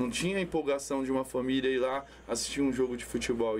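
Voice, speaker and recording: An unremarkable speaking voice from a man, with lively intonation. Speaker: amateur football tournament organizer. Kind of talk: casual chat. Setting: studio.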